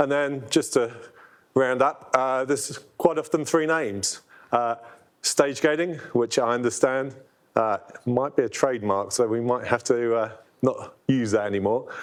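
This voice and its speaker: In a London accent, a man speaks at a moderate pace, his medium pitch moving with ordinary variation. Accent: British (London). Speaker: product owner presenting software. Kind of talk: conference presentation. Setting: room with live audience. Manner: hesitant, many fillers.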